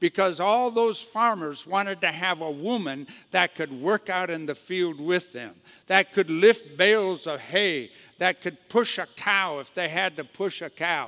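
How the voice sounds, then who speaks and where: This man has an American accent, a high pitch, and a bright, sharp tone, speaking at a fairly slow pace with ordinary pitch variation in a dry, close sound with no echo. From US Midwest, northeastern Wisconsin. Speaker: pastor. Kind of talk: sermon. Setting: church.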